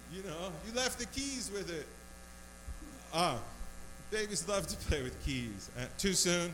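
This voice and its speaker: A man speaks at a high pitch with very wide pitch swings, fairly slowly and with long, frequent pauses. Room echo is audible. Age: 40s. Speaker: stand-up comedian. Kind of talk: stand-up. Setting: bar stage with small audience. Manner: halting, repeats words.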